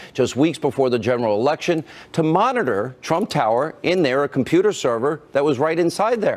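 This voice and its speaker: An unremarkable speaking voice, this man's is fairly high-pitched, with lively intonation, very even loudness and a fairly quick pace. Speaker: TV news host. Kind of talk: TV news opening monologue.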